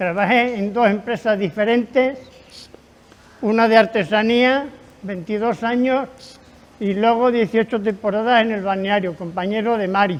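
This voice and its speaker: A man with a high pitch speaks at a fairly slow pace, his intonation fairly even and broken by long, frequent pauses. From Spain, Extremadura (north Cáceres). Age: 80s. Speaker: retired craftsman. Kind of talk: interview reminiscence.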